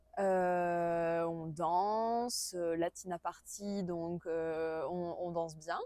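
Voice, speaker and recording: A woman speaks very slowly, her fairly low voice carrying a dark, mellow tone and fairly even intonation. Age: 20s. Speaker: interviewee recounting personal experience. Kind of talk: interview testimony. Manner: halting, many hesitations.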